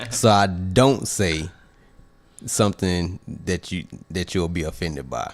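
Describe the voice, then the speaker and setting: A man speaks at a very deep, low pitch and a fairly slow pace. Long pauses come often. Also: ordinary pitch variation. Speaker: podcast co-host. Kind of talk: casual chat. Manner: soft-spoken.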